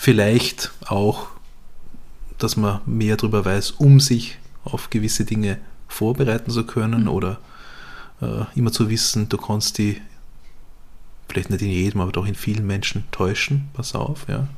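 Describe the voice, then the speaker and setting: A man speaks slowly in a fairly low, somewhat breathy voice with ordinary pitch variation. He leaves long, frequent pauses. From Vorarlberg, western Austria. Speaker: podcast host, journalist. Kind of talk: casual chat.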